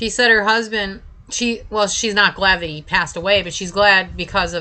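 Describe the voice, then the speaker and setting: A woman speaks at medium pitch and a fairly slow pace, with fairly even intonation. It is a plain, everyday voice. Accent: American. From Buffalo, New York, US. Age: 50s. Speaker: online video host. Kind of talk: casual livestream chat.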